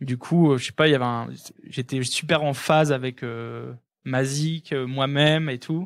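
A man talks in an unremarkable speaking voice, medium in pitch, with fairly even intonation. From northern France, Lille. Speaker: electronic music producer and DJ. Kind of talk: casual interview chat. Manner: fast, filler-heavy.

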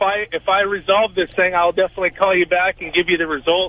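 A man talks at a fairly quick pace in a high voice. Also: dry, close sound with no echo.

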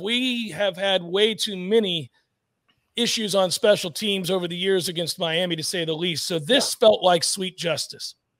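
Recorded against a quiet background, a man speaks at a fairly slow pace. The sound is dry, with no echo. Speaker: sports website host. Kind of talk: casual sports discussion. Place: home room. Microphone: studio mic.

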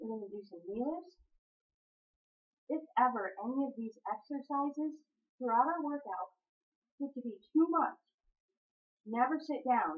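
Speaking at a fairly slow pace with long, frequent pauses, a woman uses a high pitch and lively intonation, her voice carrying a slightly husky edge.

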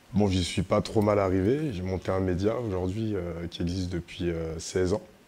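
A man talks at a fairly slow pace in a very deep, low voice. His intonation stays fairly even. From France (Paris suburbs). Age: 40s. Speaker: media co-founder. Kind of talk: live panel conversation. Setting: stage with audience. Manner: casual, slangy.

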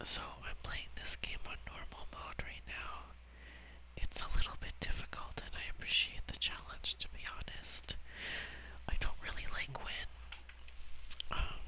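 Whispering in a relaxed tone, a man speaks at a moderate pace with long, frequent pauses amid noticeable background noise. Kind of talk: whispered gaming commentary. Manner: whispered, soft-spoken, relaxed.

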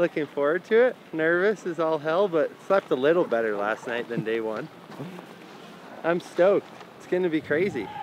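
A man's voice at a moderate pace with big swings in loudness, dry with no echo, over light background noise. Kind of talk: casual vlog chat. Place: street. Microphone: camera far.

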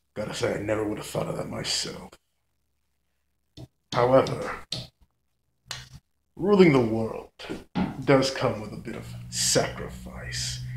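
Putting on a raspy character voice, a man speaks at a moderate pace with long, frequent pauses and an audible echo. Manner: gloating, menacing.

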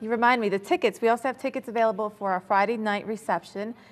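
Speaking at a fast pace, a woman uses a fairly high pitch. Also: fairly even intonation.

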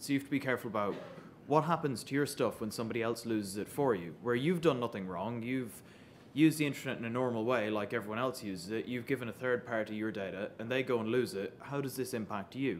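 A man speaks at a very fast pace with ordinary pitch variation over light background noise. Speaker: presenter. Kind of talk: conference talk. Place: hall.

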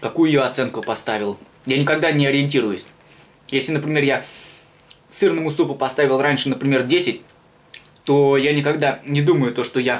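Fairly high in pitch, a man talks at a moderate pace. His intonation stays fairly even. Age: 20s. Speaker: video blogger doing food reviews; food reviewer vlogger. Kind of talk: casual vlog monologue. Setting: home kitchen. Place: home room. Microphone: phone near.

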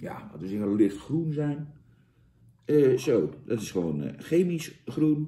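Very wide pitch swings from a man. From Netherlands. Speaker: product reviewer, comedian. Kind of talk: comedic product review. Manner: animated; halting. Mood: mock disgust, sarcastic. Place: home room. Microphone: camera far.

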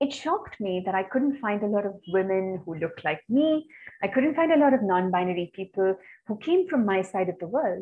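A woman talks at a fairly quick pace. Her pitch swings very widely. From India, Chennai; India. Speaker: peace educator and researcher; peace educator. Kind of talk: webinar presentation. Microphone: webcam.

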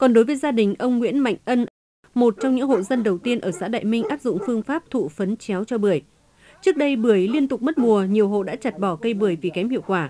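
A woman talks very fast at a fairly high pitch, with lively intonation and a dark, mellow tone. The sound is dry and close, with no echo. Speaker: news reporter. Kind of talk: news reading.

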